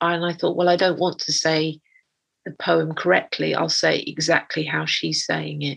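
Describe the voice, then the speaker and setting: In an English accent, a woman talks at a moderate pace. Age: 50s. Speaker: artist. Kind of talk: interview.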